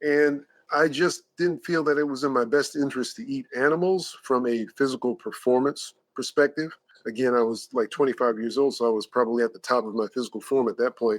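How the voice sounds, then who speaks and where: An ordinary speaking voice from a man at medium pitch, with ordinary pitch variation and a fairly quick pace, in a dry, close sound with no echo. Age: 60s. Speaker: personal trainer. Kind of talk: podcast interview.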